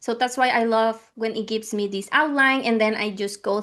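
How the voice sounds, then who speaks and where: A woman's fairly high-pitched voice with a Spanish accent, at a moderate pace against a quiet background. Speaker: podcast co-host. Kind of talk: casual chat. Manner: halting.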